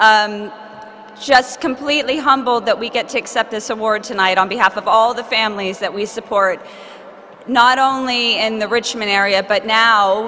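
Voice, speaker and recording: A woman with an American accent speaks at a moderate pace in a fairly high voice, her intonation fairly even, over noticeable background noise. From United States. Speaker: charity representative accepting award. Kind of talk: acceptance speech. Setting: stage with audience at awards ceremony.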